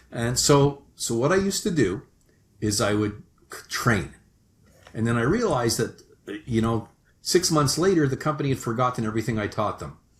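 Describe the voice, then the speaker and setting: With a Canadian accent, a man of medium pitch speaks in a somewhat breathy voice with lively intonation and long, frequent pauses. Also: moderate pace. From Canada. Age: 60s. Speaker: sales management consultant. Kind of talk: podcast interview. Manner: hesitant, with frequent restarts.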